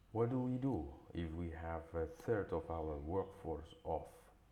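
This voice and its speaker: There is noticeable background noise. A man with a very deep, low voice speaks at a very slow pace. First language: not English. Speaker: English learner. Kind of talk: news article read aloud.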